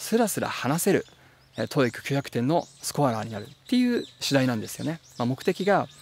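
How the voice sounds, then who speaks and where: A man's medium-pitched voice at a moderate pace, lively intonation, a dry sound with no echo, and light background noise. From Japan. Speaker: translator and English teacher; English tutor. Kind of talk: tutorial; tutorial talk to camera. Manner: frequent filler 'e' hesitations; polite formal. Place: forest. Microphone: phone near.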